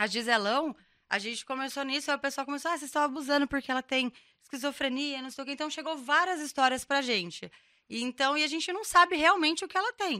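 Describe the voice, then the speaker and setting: A woman's high, bright, sharp voice, raised and projected, at a very fast pace with ordinary pitch variation, in a very clean recording with a silent background. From Brazil, São José dos Campos (São Paulo state). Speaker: meme page admin. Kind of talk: casual chat.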